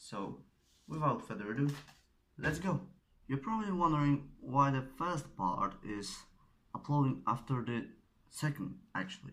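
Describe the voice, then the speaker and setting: With a Polish accent and a fairly high pitch, a man speaks at a moderate pace, using very wide pitch swings and long, frequent pauses. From Poland. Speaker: origami tutorial creator. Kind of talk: tutorial. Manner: halting, searching for words.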